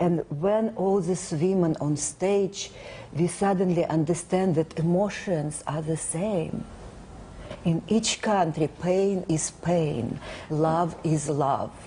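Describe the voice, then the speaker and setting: At a very slow pace, a woman with a non-native accent speaks in a fairly low pitch with fairly even intonation and very even loudness, noticeable background noise behind her. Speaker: actress. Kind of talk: interview.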